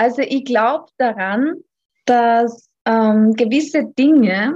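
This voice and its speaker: A woman talks in an Austrian accent. Her voice is somewhat breathy. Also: dry, close sound with no echo. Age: 30s. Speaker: physiotherapist and yoga teacher. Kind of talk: podcast interview. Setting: remote call.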